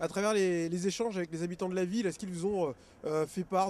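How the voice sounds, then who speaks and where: Very fast male speech, high-pitched, with fairly even intonation. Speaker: local TV interviewer. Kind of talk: interview questions. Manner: hesitant.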